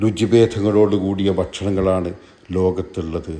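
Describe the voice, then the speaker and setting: A man speaks in a dark, mellow tone. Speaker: Islamic speaker. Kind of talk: Islamic religious speech.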